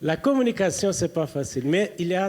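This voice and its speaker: A high-pitched man with lively intonation at a fairly slow pace. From Brazil. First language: Portuguese (speaking French). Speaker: preacher. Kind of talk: sermon. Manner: halting.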